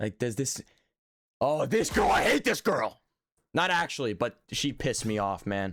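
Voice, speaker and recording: A man with an American accent at medium pitch, lively intonation and a moderate pace, broken by long, frequent pauses, on a very clean recording with a silent background. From Texas, Dallas area. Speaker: streamer. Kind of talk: casual live-stream reaction chat. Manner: animated.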